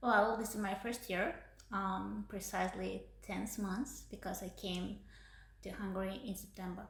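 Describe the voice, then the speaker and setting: A woman talks at a fairly slow pace. There is audible echo from the room. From Uzbekistan. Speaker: PhD student. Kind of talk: podcast interview. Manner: hesitant, many fillers.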